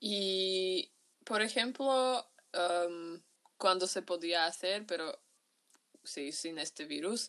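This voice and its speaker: Someone with a Slovak accent speaks at a very slow pace. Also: woman. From Slovakia, Bratislava. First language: Slovak (speaking Spanish). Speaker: university student. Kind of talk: interview testimony. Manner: halting.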